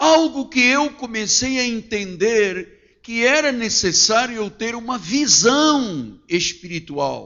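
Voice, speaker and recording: A man with an extremely high pitch speaks very slowly, his intonation lively. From Portuguese family, born in Angola. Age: 60s. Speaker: pastor. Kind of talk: sermon. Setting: church.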